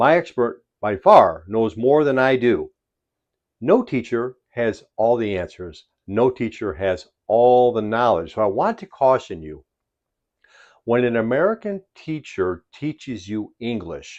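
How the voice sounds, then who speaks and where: Against a quiet background, a man with a Chicago accent speaks at a fairly slow pace. His medium-pitched voice has lively intonation. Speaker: English teacher. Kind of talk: tutorial. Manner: slow, deliberate.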